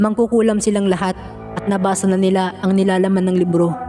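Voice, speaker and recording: A man with a high pitch speaks at a fairly quick pace in a monotone, flat intonation. Music sits in the background. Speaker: horror story narrator. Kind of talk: horror story narration.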